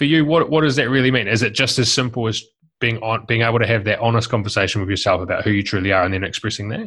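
A man with a New Zealand accent talks at a very fast pace. His medium-pitched voice has ordinary pitch variation. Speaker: podcast host. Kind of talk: interview; scripted outro.

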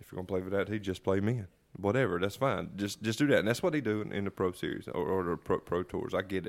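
Very fast speech comes from a man with a Southern US accent and a fairly low pitch, showing ordinary pitch variation. The recording is very clean, with a silent background. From North Carolina. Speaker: podcast host. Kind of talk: casual drinking chat.

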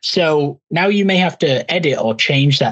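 A man speaks with an American accent and lively intonation. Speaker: podcast host. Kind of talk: interview.

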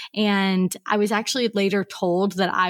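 A plain, everyday voice from a woman with an American accent, medium-pitched, fairly even in intonation and moderate in pace, in a very clean recording with a silent background and a dry, close sound with no echo. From US Pacific Northwest (Portland, Oregon). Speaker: copywriter and business consultant. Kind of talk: podcast interview.

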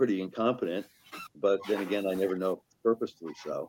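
Here is a man with an ordinary speaking voice and a fairly low pitch. He goes at a fairly quick pace with fairly even intonation. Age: 60s. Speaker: newspaper managing editor. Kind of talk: interview.

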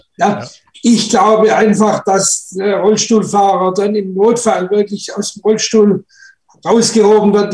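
A man talks at a fairly slow pace and a high pitch, with monotone, flat intonation. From Stuttgart, Germany. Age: 30s. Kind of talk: casual group talk.

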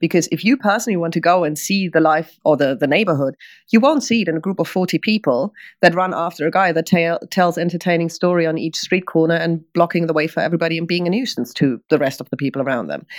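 Speaking at a very fast pace, a woman has a fairly low pitch and ordinary pitch variation. She talks with a German accent. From northern Germany, Oldenburg area. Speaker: tour guide. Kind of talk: interview conversation.

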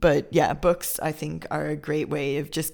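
A woman with an American accent speaks at a fairly slow pace, her very deep, low pitch carrying vocal fry. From Chicago suburbs, US. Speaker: podcast host, expat parent. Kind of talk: casual chat.

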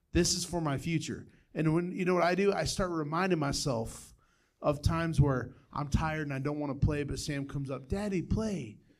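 A man has a normal speaking voice, fairly high in pitch. He talks at a fairly quick pace with ordinary pitch variation. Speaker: church member. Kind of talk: reading aloud.

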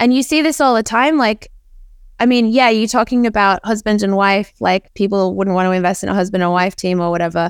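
Using a normal speaking voice, a woman with a medium pitch and ordinary pitch variation moves at a fairly quick pace with very even loudness. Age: 30s. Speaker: NFT project founder and artist. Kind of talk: interview.

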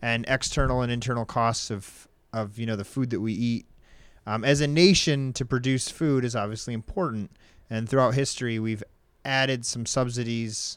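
A man's normal speaking voice at medium pitch, fairly even in intonation, moderate in pace, on a very clean recording with a silent background. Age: 30s. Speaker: podcast co-host. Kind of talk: casual chat.

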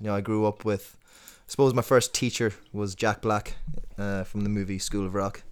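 On a very clean recording with a silent background, a man with a western Irish accent speaks at a moderate pace and a fairly low pitch. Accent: western Irish (Tuam). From Tuam, west of Ireland. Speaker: singer-songwriter. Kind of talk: casual podcast interview.

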